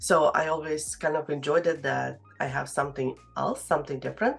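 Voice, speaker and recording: Speaking at a fairly quick pace, a woman with a non-native accent uses a very deep, low pitch with vocal fry. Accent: foreign accent, noticeable. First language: Russian. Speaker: real estate agent. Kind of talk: interview. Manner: halting, many fillers.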